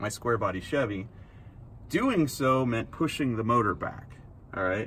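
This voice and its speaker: With ordinary pitch variation and a moderate pace, a man talks as light background noise runs underneath. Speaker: car show host. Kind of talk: casual vlog chat. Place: street. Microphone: phone near.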